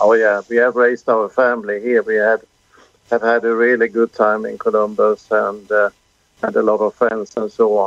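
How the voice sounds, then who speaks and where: Speaking at a moderate pace with a monotone, flat intonation, a man with a southern Swedish accent is heard in a dry, close recording with no echo. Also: medium pitch for a man. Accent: Swedish, southern Sweden. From southern Sweden. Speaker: amateur radio operator. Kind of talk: casual chat.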